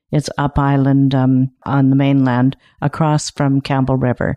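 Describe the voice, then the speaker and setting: A woman with a dark, mellow tone speaks at a fairly slow pace in a dry, close sound with no echo. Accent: Canadian. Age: 60s. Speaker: retiring kindergarten teacher. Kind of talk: interview.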